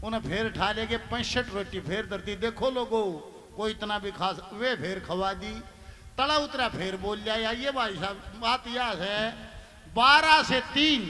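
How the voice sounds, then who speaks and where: A man's raised, projected voice with a Haryana accent, high in pitch, with ordinary pitch variation, over noticeable background noise. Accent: Haryanvi. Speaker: ragni folk singer and comedian. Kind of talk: stage joke telling.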